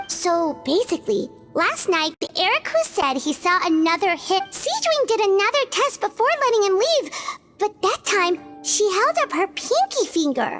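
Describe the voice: Over faint music in the background, a woman does a cartoonish character voice at an extremely high pitch and a moderate pace.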